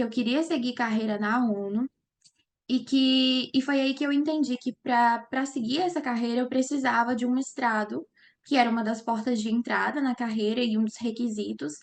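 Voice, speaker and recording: Her pitch high with ordinary variation, a woman speaks at a moderate pace. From Brazil, Minas Gerais. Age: 20s. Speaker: lawyer and master's student. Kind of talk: interview.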